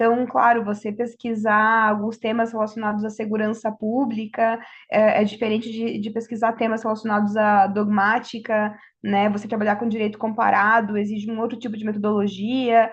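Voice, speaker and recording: Somewhat breathy and fairly high-pitched, a woman with a Brazilian accent speaks in a flat monotone. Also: moderate pace. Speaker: law professor. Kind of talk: panel talk.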